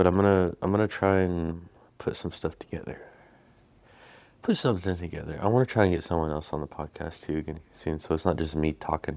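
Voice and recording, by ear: A man speaks softly at a moderate pace. His intonation is fairly even. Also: slightly mellow tone.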